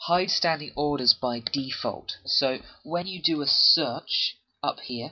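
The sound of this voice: The man's pitch is fairly high, with ordinary variation. He talks at a slow pace with a slightly husky edge.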